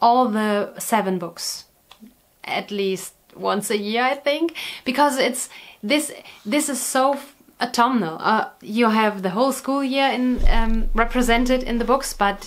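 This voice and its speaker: A woman with a high voice talks at a fairly slow pace. Her pitch varies in an ordinary way. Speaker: knitting vlogger. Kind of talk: casual vlog chat. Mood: warm, cheerful. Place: home room.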